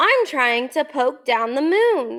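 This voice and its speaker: A woman puts on a character voice at a high pitch. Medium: read story. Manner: earnest.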